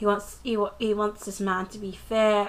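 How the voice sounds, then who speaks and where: A woman with a medium-pitched voice talks at a fairly slow pace. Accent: British. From UK. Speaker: TV review vlogger. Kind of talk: casual episode recap vlog. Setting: filmed close-up on camera at home. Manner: casual, hesitant with many fillers.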